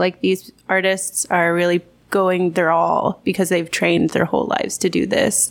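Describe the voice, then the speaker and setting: Vocal fry at a moderate pace, with an American accent. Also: woman. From Texas. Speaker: English teacher at a private academy. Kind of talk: casual chat. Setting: bar.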